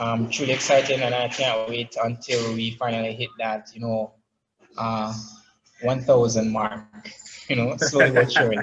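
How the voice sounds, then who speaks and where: Speaking with a Jamaican accent, a man uses medium pitch and monotone, flat intonation. He keeps a moderate pace but takes long, frequent pauses. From Jamaica, Saint Thomas. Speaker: app founder and digital marketer. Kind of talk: interview. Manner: many fillers, halting.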